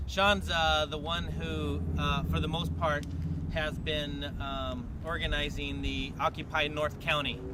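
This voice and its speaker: Amid noticeable background noise and audible room echo, a man talks at a very slow pace. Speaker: activist organizer. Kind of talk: public meeting speech. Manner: loud; animated.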